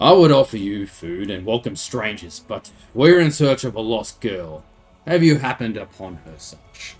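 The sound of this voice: A man puts on a rumbling character voice at a medium pitch. His pitch swings very widely. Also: moderate pace.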